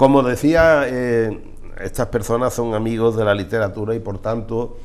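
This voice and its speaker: Audible room echo around a man's medium pitch and moderate pace. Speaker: TV presenter. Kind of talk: TV interview. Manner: halting.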